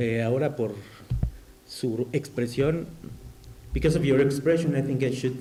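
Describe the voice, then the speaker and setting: At a moderate pace with long, frequent pauses, a man with a Spanish accent speaks at a medium pitch with fairly even intonation and audible room echo. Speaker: academic discussant. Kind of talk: academic commentary. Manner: halting.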